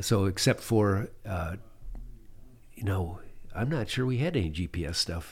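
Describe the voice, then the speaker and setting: A man speaks at a moderate pace, somewhat breathy and with long, frequent pauses, on a very clean recording with a silent background. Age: 60s. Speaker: pilot and adventurer. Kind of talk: casual interview telling stories.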